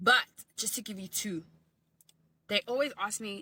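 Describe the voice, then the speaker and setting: A woman speaks in a South African accent with a bright, sharp tone. The sound is dry and close, with no echo. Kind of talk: casual storytelling.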